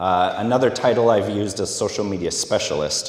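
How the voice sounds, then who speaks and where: With a Minnesota accent, a man speaks at a fairly low pitch with ordinary pitch variation, heard with audible room echo and noticeable background noise. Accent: Minnesota, long O's. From US Midwest, Minnesota. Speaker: social media specialist giving a talk. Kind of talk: conference talk. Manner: hesitant, many fillers.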